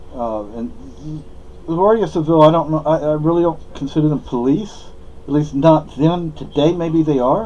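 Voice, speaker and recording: A man with a fairly high voice and ordinary pitch variation keeps a moderate pace amid noticeable background noise. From southern Spain. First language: Spanish. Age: old. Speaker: vlogger. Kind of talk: casual monologue. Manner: halting.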